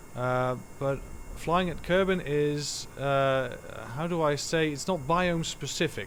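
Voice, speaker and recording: In a room with audible echo, a man with a Dutch accent speaks at a fairly high pitch. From Netherlands. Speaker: gaming streamer. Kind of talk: live gameplay commentary. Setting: live stream. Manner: halting, many fillers.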